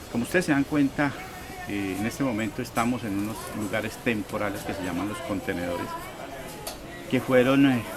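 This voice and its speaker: Amid crowd noise in the background and audible room echo, a man with a medium pitch and ordinary pitch variation speaks at a moderate pace, leaving long, frequent pauses. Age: 60s. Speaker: electronics repair technician, market vendor. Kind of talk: documentary interview testimony.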